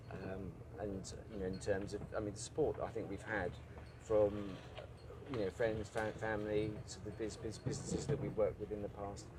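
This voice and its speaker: A man's fairly low voice at a fairly quick pace, fairly even in intonation, broken by long, frequent pauses, with audible room echo. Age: 50s. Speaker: ocean rowing adventurer. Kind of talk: live interview. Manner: halting, many restarts.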